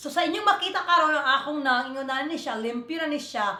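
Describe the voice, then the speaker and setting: A woman's raised, projected voice, high in pitch with ordinary variation, animated in tone, with audible room echo. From Philippines, Visayas. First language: Cebuano (Bisaya) (speaking Tagalog). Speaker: beauty vlogger. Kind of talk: makeup tutorial.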